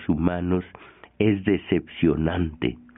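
Very slowly, a man talks in a very deep, low pitch that varies in an ordinary way. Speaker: radio host. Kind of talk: radio commentary.

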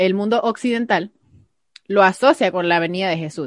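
An unremarkable speaking voice, a woman at a fairly quick pace with lively intonation. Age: 20s. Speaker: podcast co-host. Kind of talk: casual chat.

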